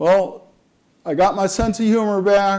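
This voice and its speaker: A man talks fairly slowly, his voice carrying audible echo from the room. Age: 70s. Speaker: retired chemist and knife sharpener. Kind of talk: conference talk.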